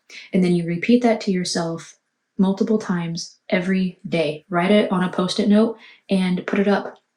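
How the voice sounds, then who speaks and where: Quiet and somewhat breathy, a woman speaks at a moderate pace and medium pitch with a dark, mellow tone and fairly even intonation. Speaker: tarot reader. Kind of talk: tarot reading monologue. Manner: quiet, hushed.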